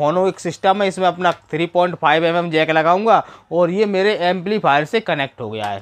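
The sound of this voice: Fairly quick pace with ordinary pitch variation. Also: man.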